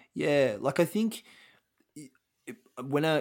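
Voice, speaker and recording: A man with an Australian accent and ordinary pitch variation, on a very clean recording against a silent background. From Australia, Melbourne. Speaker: social enterprise co-founder and career coach. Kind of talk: interview. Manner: halting, many fillers and restarts.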